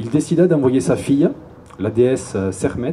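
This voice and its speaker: With a Toulouse accent and lively intonation, a man speaks over noticeable background noise. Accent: southern French (Toulouse), sing-song. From Toulouse, southern France. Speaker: YouTuber, cultural video maker. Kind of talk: public lecture. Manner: casual, humorous.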